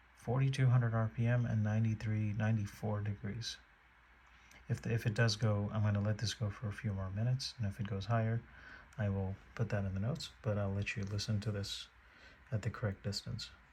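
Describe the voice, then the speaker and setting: A man is whispering at a fairly quick pace. His voice is somewhat breathy. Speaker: tech reviewer. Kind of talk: product demo narration. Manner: halting.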